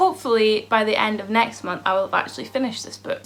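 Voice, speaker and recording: Someone talks at a very fast pace in a Scottish accent, with noticeable background noise. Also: woman. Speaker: beauty and lifestyle vlogger. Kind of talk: casual vlog talk to camera. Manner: animated.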